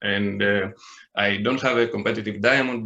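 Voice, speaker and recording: A man with a Greek accent, medium pitch, a bright, sharp tone, fairly even intonation and a moderate pace. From Greece. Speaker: online card game player. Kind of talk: podcast interview. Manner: halting, many fillers and repeats.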